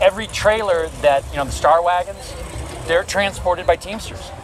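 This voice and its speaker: A man talks at a moderate pace while noticeable background noise is present. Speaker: actor talking about his union. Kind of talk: casual street conversation. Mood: animated, ranting about union. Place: street.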